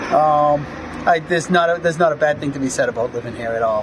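A man speaks with an American accent. Noticeable background noise runs behind him. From US. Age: 60s. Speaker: retired expat farmer, former marine; interviewee. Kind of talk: casual interview. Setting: outdoors on a farm. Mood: happy, enthusiastic.

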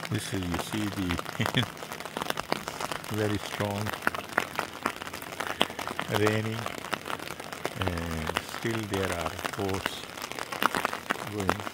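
A man speaks at a very slow pace with long, frequent pauses. Loud background noise fills the dry recording, which has no echo. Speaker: travel vlogger. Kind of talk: casual vlog commentary. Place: waterside. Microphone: phone near.

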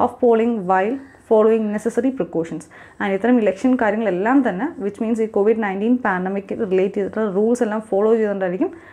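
Her tone is dark and mellow, with a fairly high pitch for a woman. The pitch varies in an ordinary way. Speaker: civil service exam coaching teacher. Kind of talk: news analysis lecture.

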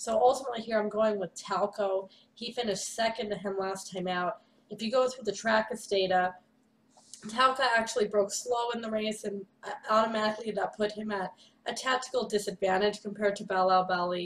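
Light background noise sits under speech delivered at a fairly quick pace with fairly even intonation. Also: woman. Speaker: horse racing analyst. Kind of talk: commentary. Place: home room. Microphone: webcam.

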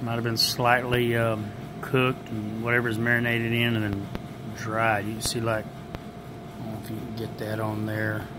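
A man keeps to a moderate pace. Noticeable background noise is present as well. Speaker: food reviewer. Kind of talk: casual taste-test vlog chat. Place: hall. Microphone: phone near.

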